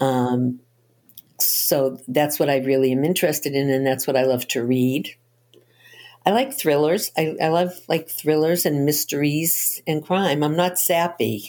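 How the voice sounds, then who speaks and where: At a fairly slow pace, a woman speaks in a very deep, low voice with ordinary pitch variation and very even loudness. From Boston. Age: 70s. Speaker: novelist. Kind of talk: interview. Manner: animated.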